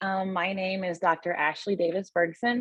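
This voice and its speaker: Speaking in an American accent, a woman uses a fairly low pitch. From US Midwest, Ferguson, Missouri. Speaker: veterinarian. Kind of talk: panel discussion. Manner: hesitant, many fillers.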